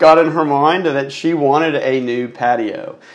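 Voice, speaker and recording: A man speaks in an American accent. His pace is fairly slow. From Texas. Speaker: podcast guest, car enthusiast. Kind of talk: casual interview. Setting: home studio.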